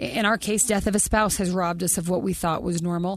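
A woman is talking. Her pace is very fast. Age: 40s. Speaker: podcast co-host. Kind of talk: casual interview conversation.

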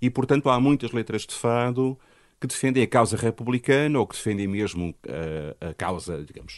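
A man with an ordinary speaking voice talks at a moderate pace and medium pitch, with ordinary pitch variation and big swings in loudness, in a dry, close sound with no echo against a quiet background. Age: 60s. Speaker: musicologist and university professor. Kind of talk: interview.

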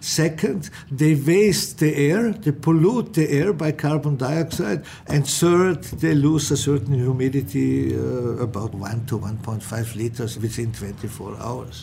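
Through noticeable background noise, a man talks at a fairly slow pace, his fairly high pitch carried by lively intonation. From Austrian mountain village. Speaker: architect. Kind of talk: interview.

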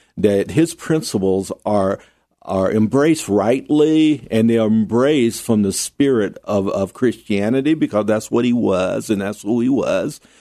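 A man with an American accent speaks at a moderate pace in a fairly low pitch, with ordinary pitch variation. His tone is dark and mellow, and the background is quiet. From US South, North Carolina. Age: 60s. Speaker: business consultant and podcast cohost. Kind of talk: interview. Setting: radio studio.

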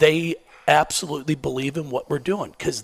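A man's fairly high voice with lively intonation, an animated tone and vocal fry. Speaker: basketball coach. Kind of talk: casual chat. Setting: stage with audience.

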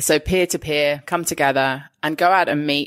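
A woman with an English accent, a very deep, low pitch and a moderate pace, on a very clean recording with a silent background. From England. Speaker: podcast host, hospitality and food events professional. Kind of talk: casual interview chat. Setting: studio.

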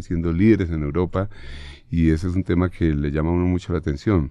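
A man's very deep, low voice with a dark, mellow tone and fairly even intonation, set against a quiet background. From Bogotá, Colombia. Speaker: football coach.

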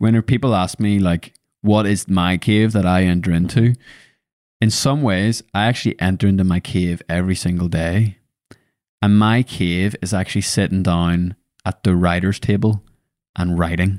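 The speech moves at a moderate pace, with fairly even intonation and very even loudness. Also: man, very deep, low pitch for a man, dry, close sound with no echo, very clean recording, silent background. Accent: Northern Irish. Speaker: podcast host. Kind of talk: casual chat.

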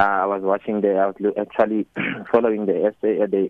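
A man with a South African accent, fairly low in pitch, at a moderate pace. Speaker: cricket coach. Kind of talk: radio interview.

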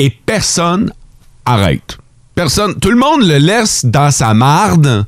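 An animated man in a Quebec accent, with vocal fry and very wide pitch swings. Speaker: morning radio host. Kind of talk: morning radio banter. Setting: radio studio.

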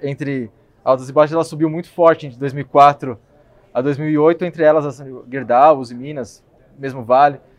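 A man talks at a fairly slow pace in a plain, everyday voice. His pitch sits fairly high. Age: 20s. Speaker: equity analyst. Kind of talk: casual chat. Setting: café.

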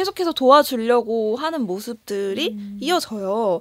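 A woman talks in a plain, everyday voice. Her pitch is fairly high and her intonation lively. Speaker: podcast co-host. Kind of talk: casual chat reviewing a film. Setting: studio.

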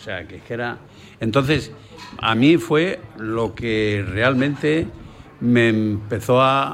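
Pausing long and often, a man speaks at a very slow pace in a medium pitch with ordinary pitch variation and big swings in loudness, and audible room echo surrounds his voice. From Tarifa, Andalusia. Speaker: tavern owner. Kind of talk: round-table radio talk. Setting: on location in a tavern restaurant.

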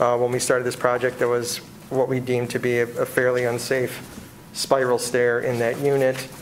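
There is noticeable background noise. The delivery is at a moderate pace with monotone, flat intonation. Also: man, medium pitch for a man. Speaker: building designer. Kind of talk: public meeting testimony. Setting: city board hearing room with microphones. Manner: loud.

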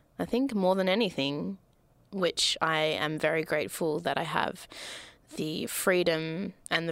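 A woman with an Australian accent, her pitch fairly low, in a very clean recording against a silent background. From Melbourne, Australia. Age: 20s. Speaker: podcast host. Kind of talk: solo monologue. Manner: animated.

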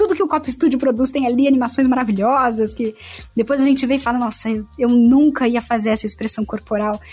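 Music plays in the background while a woman speaks at a fairly quick pace. Her pitch is high, with ordinary pitch variation. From São Paulo state, Santo André. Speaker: voice actress. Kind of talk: casual interview chat.

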